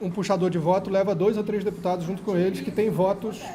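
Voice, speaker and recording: A man's high voice at a fairly quick pace, with fairly even intonation and audible room echo. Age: 60s. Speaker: astrologer and former stage artist. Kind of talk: panel debate.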